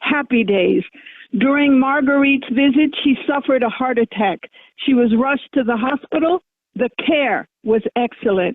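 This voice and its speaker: A woman's high voice at a moderate pace, with ordinary pitch variation. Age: 70s. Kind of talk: public testimony. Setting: phone line. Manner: earnest, appealing.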